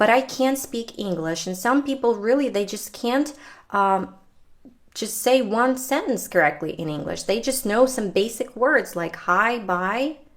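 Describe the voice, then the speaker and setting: A woman with a Ukrainian accent, fairly high-pitched, with lively intonation at a fairly slow pace. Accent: non-native English, Ukrainian. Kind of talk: casual chat.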